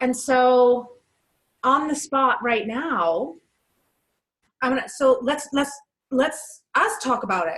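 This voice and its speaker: Loud and high-pitched, a woman speaks very slowly with lively intonation and long, frequent pauses. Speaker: podcast co-host. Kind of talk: casual chat.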